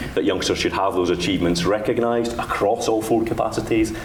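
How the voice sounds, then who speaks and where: Amid noticeable background noise and audible room echo, a man with a Dundee accent speaks with fairly even intonation. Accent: Dundee Scottish. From Scotland, Dundee. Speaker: education official. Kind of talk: conference panel talk.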